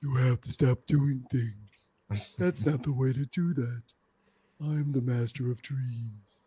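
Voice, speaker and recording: Using a put-on character voice, a man speaks at medium pitch. His pace is fairly slow. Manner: broody, monotone.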